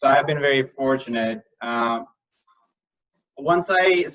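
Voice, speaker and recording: A man's voice sits fairly high in pitch. His tone is bright and sharp. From northern India. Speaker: panelist. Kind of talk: panel discussion. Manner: halting.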